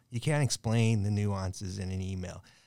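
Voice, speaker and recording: Recorded very cleanly against a silent background, a man speaks fairly slowly at a fairly low pitch, his dark, mellow tone showing ordinary pitch variation. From Southern California, Long Beach. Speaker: firefighter union president. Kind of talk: casual roundtable discussion.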